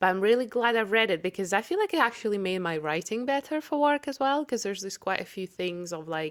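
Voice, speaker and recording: Speaking with a Russian accent, a woman talks at a very fast pace with lively intonation and hardly any pauses. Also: medium pitch for a woman. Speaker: podcast co-host. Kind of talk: casual chat.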